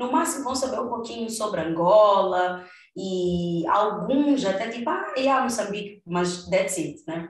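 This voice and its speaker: Fairly unhurried speech with lively intonation, clear room echo and obvious background noise. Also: woman, medium pitch for a woman. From Mozambique. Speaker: podcast host. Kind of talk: casual chat. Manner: halting.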